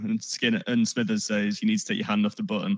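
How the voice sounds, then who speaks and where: A man with an English accent, a bright, sharp tone and ordinary pitch variation. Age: 30s. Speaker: podcast guest, Simpsons fan. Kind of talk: casual chat.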